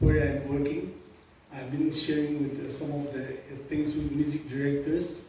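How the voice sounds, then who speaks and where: There is noticeable background noise. Room echo is audible too. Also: man. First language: Sumi. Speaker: church musician and speaker. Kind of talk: lecture. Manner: halting, many fillers.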